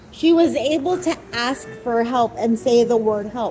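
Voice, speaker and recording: The speaker talks at a very slow pace. Music plays in the background. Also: woman. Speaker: podcast host. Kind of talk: movie review monologue. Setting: recording on camera.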